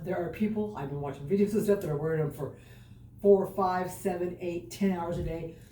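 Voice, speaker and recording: Amid noticeable background noise and audible room echo, a woman with a fairly low voice talks at a fairly quick pace with lively intonation. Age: 60s. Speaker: fitness vlogger. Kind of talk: exercise vlog. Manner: casual, chatty.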